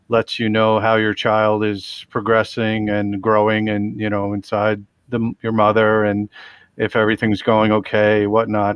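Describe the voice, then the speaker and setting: At a fairly slow pace, a man speaks in a fairly low pitch. His intonation is monotone and flat. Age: 40s. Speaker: panel guest with craniofacial condition. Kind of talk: online panel discussion.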